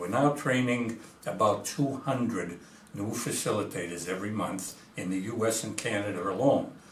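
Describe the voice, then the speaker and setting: Lively intonation marks a man's medium-pitched speech, heard with audible room echo and noticeable background noise. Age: 80s+. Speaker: physician and recovery program founder. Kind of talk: interview monologue. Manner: hesitant, frequent fillers.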